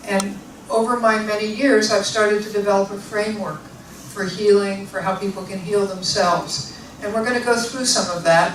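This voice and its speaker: A woman with an American accent speaks with fairly even intonation, amid audible room echo and noticeable background noise. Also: medium pitch for a woman, moderate pace. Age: 60s. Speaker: osteopathic physician and author. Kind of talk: public talk. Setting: library event with audience.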